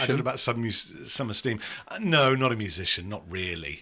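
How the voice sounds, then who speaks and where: A man with an ordinary speaking voice, medium in pitch, at a fairly quick pace. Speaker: voice-over artist. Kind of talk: casual podcast conversation.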